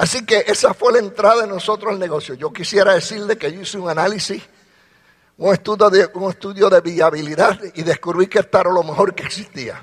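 A man speaks at a high pitch and a fairly quick pace. His loudness swings widely. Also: ordinary pitch variation. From Puerto Rico. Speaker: retired army officer and business leader. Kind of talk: motivational talk to audience.

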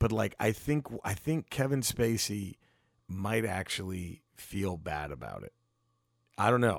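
In an unremarkable speaking voice, a man talks at a fairly slow pace with a fairly low pitch, lively intonation and big swings in loudness, in a very clean recording with a silent background. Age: 40s. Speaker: stand-up comedian. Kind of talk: casual chat. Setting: at guest's home.

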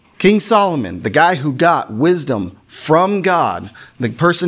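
Through audible room echo, a man with a fairly high pitch talks at a fairly slow pace, his pitch swinging very widely. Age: 30s. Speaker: preacher. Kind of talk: sermon.

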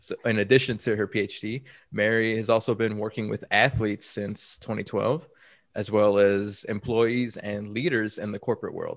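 With an American accent, this voice delivers everything in a flat monotone over a very clean recording with a silent background. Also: man, fairly low pitch for a man, moderate pace. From Chicago. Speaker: performance consultant and podcast co-host. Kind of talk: casual chat.

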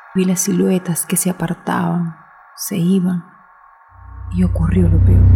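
With noticeable background noise behind her, a woman speaks in a dramatic tone, leaving long, frequent pauses. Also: fairly slow pace. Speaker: narrator. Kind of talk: ghost story telling. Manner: hushed, suspenseful, slow and deliberate pacing; tense, dramatic, urgent in the fear moments.

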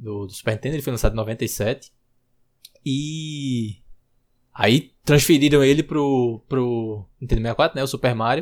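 Over a very clean recording with a silent background, a man with a plain, everyday voice speaks at a medium pitch and a fairly slow pace, using lively intonation. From Recife, Brazil. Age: 20s. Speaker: designer, podcast fan guest. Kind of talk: casual chat.

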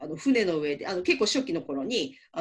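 This woman's voice has very wide pitch swings. It climbs and drops dramatically. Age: 30s. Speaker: manga writer and deputy editor. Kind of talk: casual chat.

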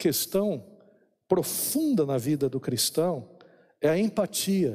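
A man with a high pitch and a dark, mellow tone talks at a fairly slow pace with lively intonation over a silent background in a very clean recording. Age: 50s. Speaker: pastor. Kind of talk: sermon.

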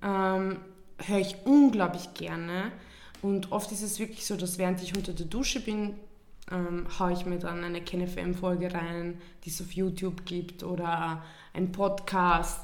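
In a Viennese accent, a woman speaks at a fairly slow pace and medium pitch. Her intonation is fairly even, and room echo is audible. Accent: Viennese Austrian German. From Vienna, Austria. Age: 20s. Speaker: podcast co-host. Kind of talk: casual chat.

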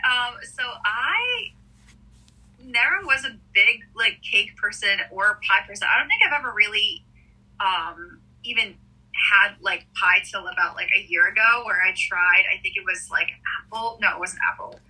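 At a fairly slow pace, a woman with a fairly high pitch talks in very wide pitch swings, leaving long, frequent pauses. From Israel. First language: Russian. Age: 20s. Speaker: singer-songwriter. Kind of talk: casual interview. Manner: hesitant, many fillers.

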